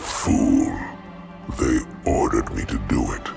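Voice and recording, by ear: Over faint music in the background, a man uses a put-on character voice at a very slow pace, with vocal fry, ordinary pitch variation and a slightly mellow tone.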